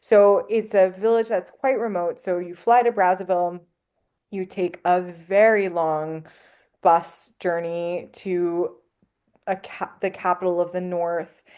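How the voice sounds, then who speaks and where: Against a quiet background, a woman with a dark, mellow tone and medium pitch talks at a fairly slow pace. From Canada. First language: French. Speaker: anthropologist. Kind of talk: podcast interview. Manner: animated storytelling.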